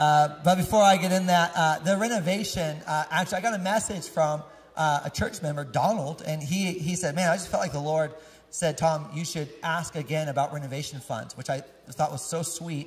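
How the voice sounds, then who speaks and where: Fairly quick male speech with ordinary pitch variation. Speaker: pastor giving announcements. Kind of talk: casual church announcements to congregation. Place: church. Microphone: handheld.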